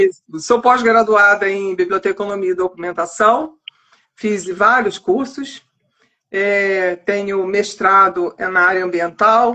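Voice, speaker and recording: This woman speaks very slowly, medium in pitch and fairly even in intonation. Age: 60s. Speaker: librarian and author. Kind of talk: casual interview chat. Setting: online live stream.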